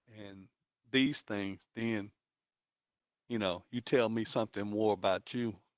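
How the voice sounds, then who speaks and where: A man's fairly low-pitched voice at a fairly slow pace, with fairly even intonation. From Texas, Baytown area. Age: 60s. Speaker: school board trustee. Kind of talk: board meeting comments.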